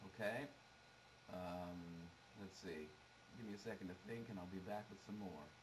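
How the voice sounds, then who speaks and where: Noticeable background noise and audible room echo surround the speech. The pace is moderate, with ordinary pitch variation and long, frequent pauses. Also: man, fairly low pitch for a man. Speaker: guitar teacher. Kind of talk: tutorial. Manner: halting. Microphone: low quality camera.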